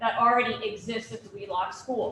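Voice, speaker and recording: The voice is loud, with fairly even intonation. It moves at a moderate pace over noticeable background noise. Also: woman. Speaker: police chief. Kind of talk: public meeting answer. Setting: public forum with microphone.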